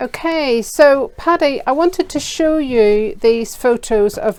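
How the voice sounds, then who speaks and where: A woman with a Northern Irish accent speaks very slowly in a high voice, her intonation lively and full of movement. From Northern Ireland. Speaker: children's art teacher. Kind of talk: kids' craft tutorial. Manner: enthusiastic.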